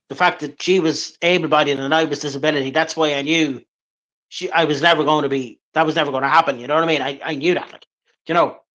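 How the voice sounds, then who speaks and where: A man with an Irish accent at a very fast pace, fairly high in pitch, bright and sharp in tone, monotone and flat in intonation, with big swings in loudness. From Ireland, Drogheda, County Louth. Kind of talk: interview.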